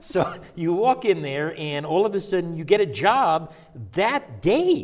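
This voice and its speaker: His pitch high, a man speaks with very wide pitch swings. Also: fairly slow pace. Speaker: talk show host. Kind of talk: interview question.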